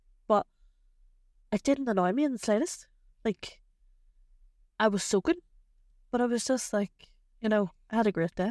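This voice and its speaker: With a Northern Irish accent, a woman with a fairly high pitch and lively intonation talks at a moderate pace, with very even loudness, long, frequent pauses and a dry, close sound with no echo. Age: 30s. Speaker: podcast co-host. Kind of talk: casual chat.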